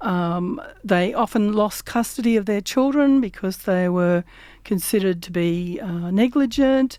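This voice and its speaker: This woman's voice has a dark, mellow tone and a fairly high pitch. She speaks at a fairly slow pace. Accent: Australian. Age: 60s. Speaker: community radio host. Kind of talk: casual chat. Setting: radio studio. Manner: halting.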